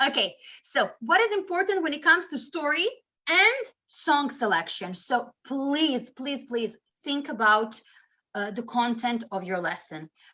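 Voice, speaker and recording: A woman with a high pitch and a bright, sharp tone speaks at a fairly slow pace in a raised, projected voice, her pitch swinging very widely. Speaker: English teacher trainer. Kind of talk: webinar presentation.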